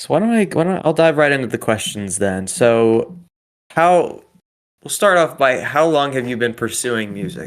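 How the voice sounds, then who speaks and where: With a slight Southern US accent, a man talks at a moderate pace in a fairly high pitch with very wide pitch swings. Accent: slight Southern on certain words, mostly none. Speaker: podcast host. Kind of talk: casual chat. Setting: video call.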